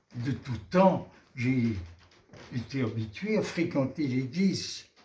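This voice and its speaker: At a very slow pace, a man speaks in a somewhat breathy, medium-pitched voice with lively intonation. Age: 80s+. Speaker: interviewee, centenarian. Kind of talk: interview answer.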